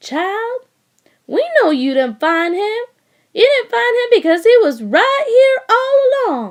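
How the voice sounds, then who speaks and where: A woman uses a squeaky, put-on character voice with a Southern US accent, pitched extremely high with very wide pitch swings. She speaks at a fairly slow pace in a raised, projected voice. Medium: read story. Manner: folksy, drawling storytelling.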